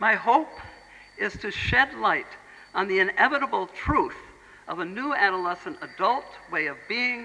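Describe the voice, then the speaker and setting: Over noticeable background noise, a speaker with an American accent goes at a moderate pace, leaving long, frequent pauses. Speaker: Montessori educator, speaker. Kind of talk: lecture.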